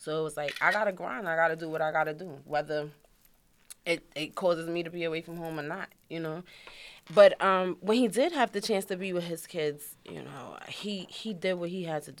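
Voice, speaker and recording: Talking at a fairly quick pace in a New York accent, a woman with a fairly low pitch lets her loudness swing widely. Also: ordinary pitch variation. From New York, Queens (Far Rockaway). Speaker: widow of a rapper. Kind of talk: interview, personal story.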